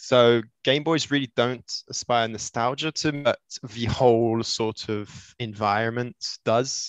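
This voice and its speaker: A man in an English accent with fairly even intonation, a dry, close sound with no echo, and a quiet background. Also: medium pitch for a man. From Switzerland. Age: 20s. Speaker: retro console modder. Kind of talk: casual chat.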